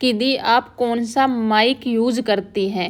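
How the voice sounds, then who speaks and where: A woman's fairly high voice with fairly even intonation, on a very clean recording with a silent background. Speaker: vlogger, housewife. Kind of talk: voice-over vlog narration. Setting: quiet room, fan off.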